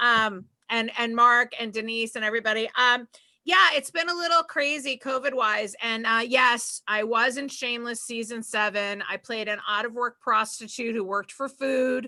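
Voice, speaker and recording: A woman with a Boston accent, fairly high in pitch, with ordinary pitch variation and a moderate pace. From Boston area, Massachusetts. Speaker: stand-up comedian. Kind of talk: stand-up.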